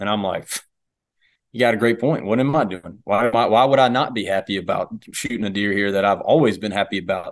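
Fairly quick speech from a man with a fairly low pitch and a Southern US accent, over a quiet background. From US South. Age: 20s. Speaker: police dog handler and hunter. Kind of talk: casual interview.

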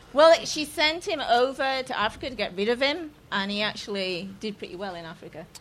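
A woman with an English accent talks at a fairly quick pace and high pitch, with hardly any pauses. Her pitch swings very widely and her loudness swings a lot, over noticeable background noise. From England. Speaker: comedian. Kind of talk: stand-up. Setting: stage with audience.

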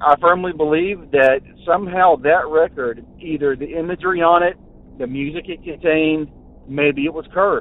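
A man with an American accent talks in a fairly high voice. His pitch varies in an ordinary way. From Central Florida. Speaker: caller. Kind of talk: recorded voicemail story. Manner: halting, many filler words.

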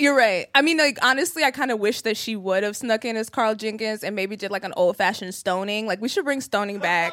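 A woman speaks at a fairly quick pace with hardly any pauses. Her intonation is lively, and there is noticeable background noise. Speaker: podcast host, comedian. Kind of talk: casual chat. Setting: stage with audience.

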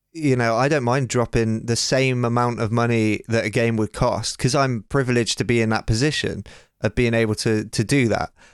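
A man's ordinary speaking voice, medium in pitch, fairly quick, with fairly even intonation and very even loudness, on a very clean recording with a silent background. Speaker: producer and co-host. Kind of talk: casual chat.

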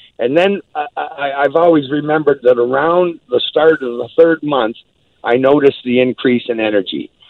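A man talks at a moderate pace in a plain, everyday voice. His pitch sits fairly high and varies in an ordinary way. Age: 60s. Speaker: company spokesperson. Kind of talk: interview telling personal story.

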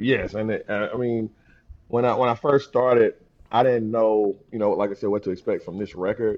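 With fairly even intonation, a man in an ordinary speaking voice holds a medium pitch and a moderate pace. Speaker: fellow podcaster. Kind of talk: casual album review discussion.

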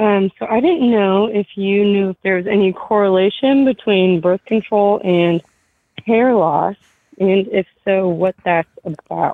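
Here is a woman with a plain, everyday voice at medium pitch. Her loudness stays very even, her pitch varies in an ordinary way, and her pace is fairly slow. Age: 20s. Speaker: caller. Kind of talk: phone call.

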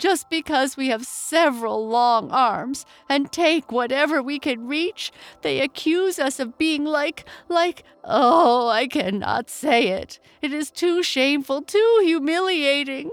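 In a put-on character voice, a woman speaks slowly at a high pitch with lively intonation.

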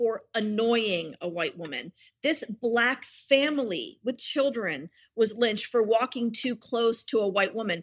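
With an American accent and lively intonation, a woman talks at a fairly high pitch in a plain, everyday voice. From Richmond, Virginia, US. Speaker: anti-racism activist. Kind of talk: interview.

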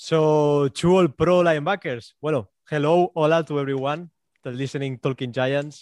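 A man with a Spanish accent and a fairly high pitch, against a quiet background. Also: fairly even intonation, moderate pace, dry, close sound with no echo. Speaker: sports podcaster. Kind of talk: interview.

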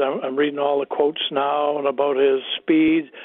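A man with a Canadian accent, fairly high pitch and a fairly quick pace. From Canada, Winnipeg. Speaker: retired NHL player. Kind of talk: radio interview.

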